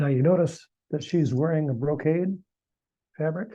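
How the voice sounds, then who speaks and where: A man's fairly high, somewhat breathy voice with a dark, mellow tone and ordinary pitch variation. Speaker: retired engineer presenter. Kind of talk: lecture.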